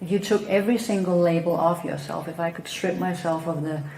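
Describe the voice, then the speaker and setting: Noticeable background noise and audible room echo surround a woman with a Danish accent. She speaks at a moderate pace in a fairly low pitch, with fairly even intonation. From Denmark. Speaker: psychotherapist. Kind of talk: talk on spiritual teaching.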